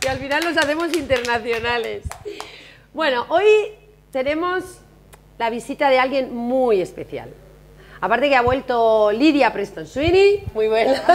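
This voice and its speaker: Animated and high-pitched, a woman speaks fairly slowly with very wide pitch swings and long, frequent pauses. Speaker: TV show host. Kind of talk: casual chat. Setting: hotel.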